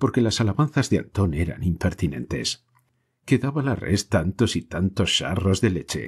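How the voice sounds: A natural reading voice with lively intonation, over a quiet background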